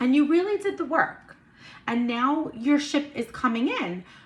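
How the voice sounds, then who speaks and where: A woman talks in a high pitch with an animated tone and lively intonation. Her pace is fairly slow, and background noise is noticeable. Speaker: tarot and intuitive reader. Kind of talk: astrology card reading monologue. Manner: stuttering at moments; casual, animated.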